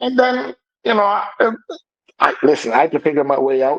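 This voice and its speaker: A man with a Jamaican accent speaks with lively intonation. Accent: Jamaican, still noticeable. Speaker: computer engineer sharing life story. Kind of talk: interview testimony.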